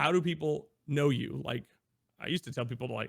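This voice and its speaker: With an American accent and some vocal fry, a man talks at a fairly quick pace in an energetic tone with ordinary pitch variation. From US Midwest (Iowa). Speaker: variety streamer. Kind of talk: interview conversation. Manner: casual with fillers.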